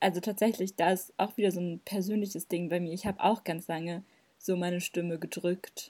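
A woman's fairly low voice, flat and monotone, at a moderate pace in a very clean recording with a silent background. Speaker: podcast co-host. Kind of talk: casual chat.

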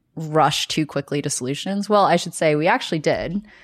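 With an American accent and an ordinary speaking voice, a woman talks at a fairly quick pace in a fairly low pitch with ordinary pitch variation, on a very clean recording with a silent background. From US South, Birmingham, Alabama. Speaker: startup founder and CEO. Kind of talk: interview.

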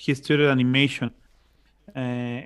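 This is a man with a Spanish accent. His pitch sits in the medium range. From Mexico, Monterrey. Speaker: musician and civil engineer. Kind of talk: casual interview. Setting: video call. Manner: halting, many repetitions; loud and chatty.

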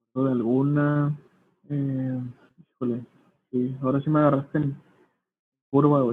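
A man's fairly slow, monotone, flat delivery with long, frequent pauses and big swings in loudness. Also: fairly high pitch for a man. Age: 20s. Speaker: youtuber and entrepreneur. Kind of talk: casual chat.

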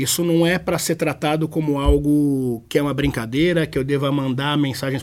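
Here a man speaks with fairly high pitch at a moderate pace. He has a normal speaking voice. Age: 30s. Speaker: innovation expert. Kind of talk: interview.

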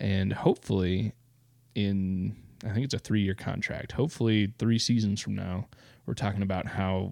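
With a Midwestern American accent, a man speaks at a moderate pace. His fairly low pitch shows ordinary variation. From eastern Iowa. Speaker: podcast co-host. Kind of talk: casual chat. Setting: home basement.

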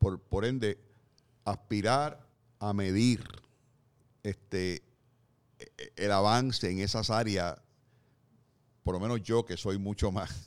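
The speaker is a man with a fairly low pitch. His voice shows ordinary pitch variation. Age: 60s. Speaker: podcast co-host, columnist. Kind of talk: casual discussion.

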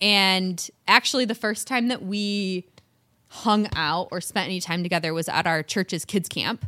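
Speaking in a Michigan accent, the voice has a bright, sharp tone and ordinary pitch variation at a fairly slow pace. The recording is very clean, with a silent background. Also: woman, medium pitch for a woman. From Michigan, US. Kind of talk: casual chat.

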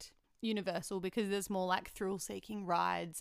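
Someone with an Australian accent talks at a fairly quick pace. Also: woman. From Melbourne, Australia. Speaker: podcast host. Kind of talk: casual chat.

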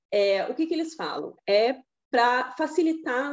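Her pitch high, a woman speaks with very wide pitch swings. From Rio Grande do Sul, Brazil. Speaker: pediatrician. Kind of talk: interview. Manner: halting, many fillers and repetitions.

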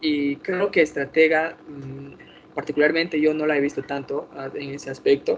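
A man speaks at a moderate pace with fairly high pitch and monotone, flat intonation. His loudness swings widely, and background noise is noticeable. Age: 20s. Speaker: podcast host of online survivor game. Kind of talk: casual chat.

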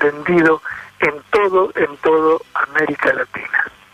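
The speech goes at a very slow pace. Background noise is noticeable. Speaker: radio music columnist. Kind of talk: radio music segment, casual narration.

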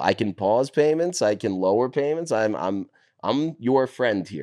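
A New York accent, fairly slow and with lively intonation, over a quiet background. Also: man. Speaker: finance worker, former sports media staffer. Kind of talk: casual chat. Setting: in a condo, recorded on the road. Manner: loud.

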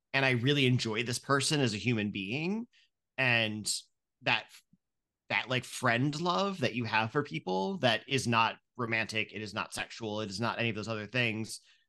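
A man with an American accent, medium pitch, ordinary pitch variation and a bright, sharp tone at a moderate pace, over a quiet background. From rural Ohio. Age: 30s. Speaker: podcaster. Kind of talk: casual chat.

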